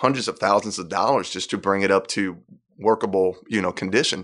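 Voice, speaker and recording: Against a quiet background, a man with a slight Puerto Rican accent talks at a fairly quick pace in a fairly low pitch with ordinary pitch variation. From Puerto Rico. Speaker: worship pastor. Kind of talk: casual interview chat.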